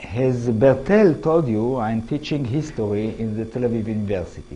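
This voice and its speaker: The speaker has an Israeli accent and a moderate pace. Pitch swings are very wide, with audible room echo. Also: man. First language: Hebrew. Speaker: history professor. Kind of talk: lecture. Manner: halting.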